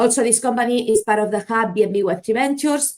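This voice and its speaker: A woman's voice with a slight Spanish accent and ordinary pitch variation. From Spain, Barcelona. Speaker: marketing agency founder, conference speaker. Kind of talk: conference presentation. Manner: halting, some self-corrections.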